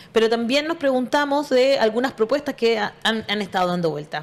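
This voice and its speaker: A woman's fairly high voice is heard amid noticeable background noise. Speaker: radio show host. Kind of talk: interview.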